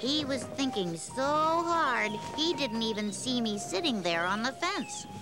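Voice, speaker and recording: A put-on character voice at a fairly slow pace over loud background music. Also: woman, fairly high pitch for a woman. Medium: read story. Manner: gentle, patient.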